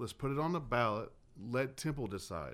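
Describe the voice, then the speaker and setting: In a Southern US accent, a man speaks at a moderate pace. The recording is very clean with a silent background. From Georgia (Dallas), US South. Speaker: political candidate. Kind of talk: radio interview.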